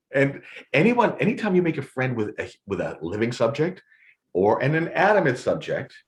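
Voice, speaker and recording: Speaking at a moderate pace, a man uses very wide pitch swings and vocal fry. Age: 60s. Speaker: photographer and storyteller. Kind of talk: casual chat. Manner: halting, with many repetitions.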